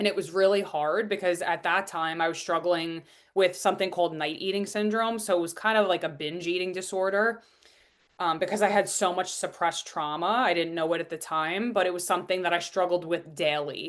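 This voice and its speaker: Against a quiet background, a woman talks at a fairly quick pace with a Long Island accent. Her pitch is fairly low and her intonation fairly even. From US Northeast, Long Island, New York. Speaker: business and transformational coach. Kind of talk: podcast interview, personal story.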